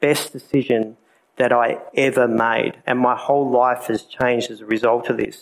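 Here is a man with an Australian accent. His intonation is flat and monotone. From South Australia. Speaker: speaker giving a personal testimony at a church event. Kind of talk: testimony. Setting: live talk in a room with an audience.

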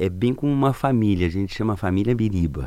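The recording is very clean, with a silent background. A man uses an ordinary speaking voice, fairly low in pitch, with ordinary pitch variation. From southern Brazil, Paraná and Santa Catarina. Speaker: circus theatre clown and actor. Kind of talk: radio interview.

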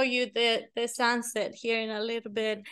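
A woman with a Mexican accent, bright and sharp in tone, at a fairly slow pace against a quiet background. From Mexico. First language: Spanish. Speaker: real estate agent. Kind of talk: casual interview. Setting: on location in a high-rise condo, filmed.

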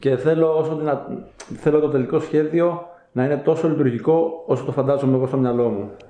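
A man with a fairly high voice and fairly even intonation is heard amid noticeable background noise and audible room echo. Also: moderate pace. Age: 20s. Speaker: YouTuber and trial bike rider. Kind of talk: casual interview.

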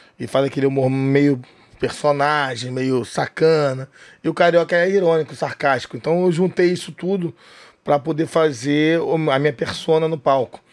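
Recorded very cleanly against a silent background, a man speaks in a fairly high pitch. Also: fairly even intonation, moderate pace. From Rio de Janeiro, Brazil (northeastern family). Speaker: comedian and club owner. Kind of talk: casual interview chat. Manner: halting, repeats words.

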